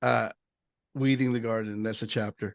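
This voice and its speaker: The recording is dry and close with no echo, as a man talks at a moderate pace with fairly even intonation over a quiet background. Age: 60s. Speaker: podcast co-host. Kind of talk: casual chat. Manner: halting, many self-repeats.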